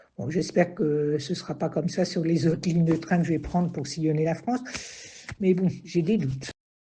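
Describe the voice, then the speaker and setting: Her voice is somewhat breathy, dark and mellow, and fairly low for a woman. She speaks at a moderate pace. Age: 60s. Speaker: retiree, train passenger. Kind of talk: testimony.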